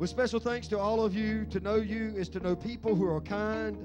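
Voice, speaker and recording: A man speaks at a fairly quick pace. Clear music plays in the background. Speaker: pastor. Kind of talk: sermon. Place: church. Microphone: handheld.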